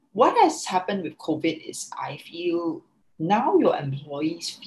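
Very slowly, a woman speaks in a fairly low, somewhat breathy voice with lively intonation. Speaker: founder of a working mothers network. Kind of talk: interview. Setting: remote call.

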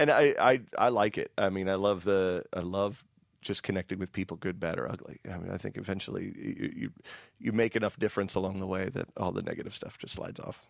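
In a very clean recording with a silent background, a man with a plain, everyday voice and fairly low pitch talks at a fairly quick pace with ordinary pitch variation. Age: 40s. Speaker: radio host. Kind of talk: casual interview chat.

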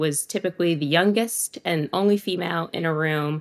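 A woman's fairly low pitch in an unremarkable speaking voice, at a moderate pace with fairly even intonation, the sound dry and close with no echo. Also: very clean recording, silent background. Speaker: image and personal brand consultant. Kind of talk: casual interview.

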